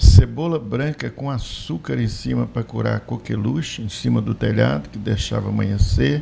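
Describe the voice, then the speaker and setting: A man's very deep, low voice with very wide pitch swings, big swings in loudness, hardly any pauses and noticeable background noise. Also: moderate pace. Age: 60s. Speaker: debate panelist. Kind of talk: panel debate commentary.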